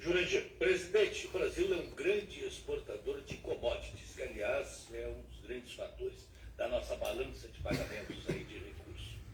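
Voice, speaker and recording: Over noticeable background noise, a man talks at a moderate pace with hardly any pauses and big swings in loudness. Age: 70s. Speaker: radio journalist. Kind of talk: radio interview questions.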